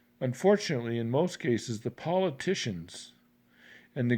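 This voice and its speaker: The recording is very clean, with a silent background. A man with a western Canadian accent speaks at a moderate pace. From Canada. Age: 60s. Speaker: engineer. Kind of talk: political commentary monologue.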